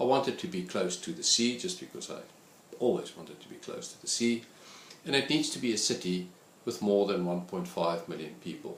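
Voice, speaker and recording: A man's medium pitch with very wide swings, a moderate pace, and audible room echo. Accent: South African. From South Africa. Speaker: statistics lecturer. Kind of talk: course introduction talk.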